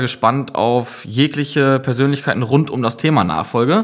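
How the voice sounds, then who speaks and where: Here is a normal speaking voice. It moves along moderately. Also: man. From Münsterland, northwestern Germany (Gronau). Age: 30s. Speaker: project manager and brewery founder. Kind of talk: casual podcast chat.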